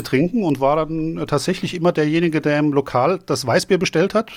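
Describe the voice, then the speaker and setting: A man speaks with a Hessian accent at a fairly high pitch. His pace is fairly quick. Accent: Hessian German accent, noticeable in Vienna. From Germany, Frankfurt am Main. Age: 50s. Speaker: beer video blogger and beer sommelier. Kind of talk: casual chat.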